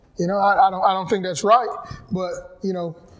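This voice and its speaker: A man's high-pitched voice in a North Carolina accent, with fairly even intonation and noticeable background noise. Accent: Southern US (North Carolina). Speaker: physical education teacher and football coach. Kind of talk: personal testimony talk. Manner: conversational, reflective.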